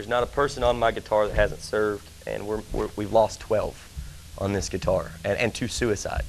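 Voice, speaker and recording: Keeping a middling tempo, a man talks over background music. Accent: Southern US. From Tennessee, Nashville. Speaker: country singer and Marine veteran. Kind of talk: interview chat. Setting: TV studio, live.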